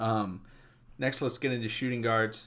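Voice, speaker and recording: A man talks fairly quickly, his intonation monotone and flat. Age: 20s. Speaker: sports podcast host. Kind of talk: casual solo sports commentary. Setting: home recording in his room.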